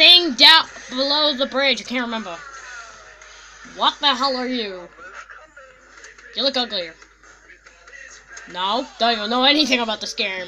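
A cartoonish character voice with a fairly high pitch speaks at a moderate pace over clear background noise. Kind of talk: comic overacting. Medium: puppet show. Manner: brash, excitable, mock-scared.

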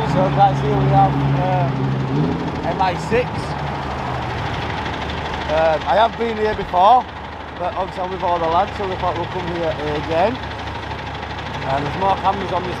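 A man talks fairly slowly against loud background noise. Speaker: street vlogger. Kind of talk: casual vlog chat. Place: street. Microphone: phone near.

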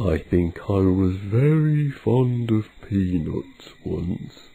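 A man's put-on character voice, fairly low in pitch, at a very slow pace. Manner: wistful, slow.

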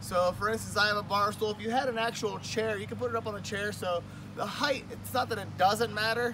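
A man at a fairly quick pace, in a dry sound with no echo and with noticeable background noise. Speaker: fitness instructor. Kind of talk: tutorial. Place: garden. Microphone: camera far.

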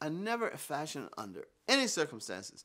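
Lively in intonation, a man speaks with a bright, sharp tone over a quiet background. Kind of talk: interview answer. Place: home room.

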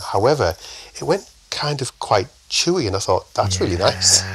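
With a northern English accent, this man talks at a moderate pace. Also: dry, close sound with no echo. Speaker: chef, podcast guest.

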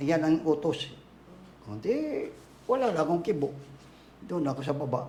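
With audible room echo, a man speaks at a moderate pace in a dark, mellow tone, fairly high in pitch with lively intonation and long, frequent pauses. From Tacloban, Leyte, Philippines. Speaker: convert to Islam telling life story. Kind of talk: life story interview.

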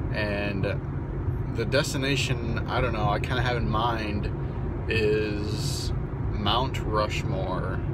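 Loud background noise sits behind a man whose voice has a dry sound with no echo. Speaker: driver vlogger. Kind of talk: casual vlog chat. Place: car.

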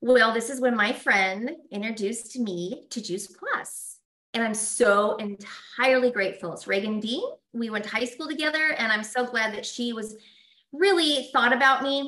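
A woman talks in a plain, everyday voice. Her pace is moderate and her pitch variation ordinary. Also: fairly high pitch for a woman. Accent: American. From Colorado. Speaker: esthetician and wellness presenter. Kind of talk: live-streamed product demo.

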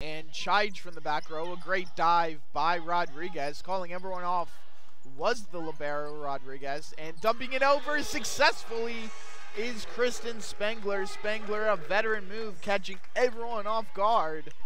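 A high-pitched man projects a raised voice at a fairly slow pace, his intonation lively. The sound is dry with no echo, though background noise is noticeable. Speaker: sports play-by-play broadcaster. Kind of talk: live sports play-by-play commentary. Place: hall. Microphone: headset.

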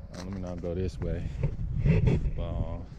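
The speech comes at a fairly quick pace over loud background noise. The sound itself is dry with no echo. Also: man. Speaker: truck driver vlogger. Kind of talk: casual vlog chat. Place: open country. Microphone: phone near.

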